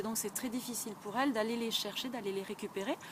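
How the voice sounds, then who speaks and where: A woman's fairly high voice with a southwestern French accent and fairly even intonation, over noticeable background noise. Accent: southwestern French, fairly marked. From southwestern France. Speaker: English teacher. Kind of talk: tutorial. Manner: hesitant, many fillers.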